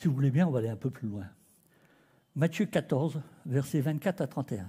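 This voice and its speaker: Fairly high-pitched with a dark, mellow tone, a somewhat breathy man talks at a fairly quick pace with lively intonation on a very clean recording with a silent background. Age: 60s. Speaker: preacher. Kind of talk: sermon. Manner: animated.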